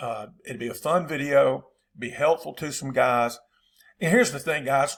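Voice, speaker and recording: On a very clean recording with a silent background, a man with a Southern US accent speaks at a moderate pace. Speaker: football coach. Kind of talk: tutorial. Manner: casual, conversational.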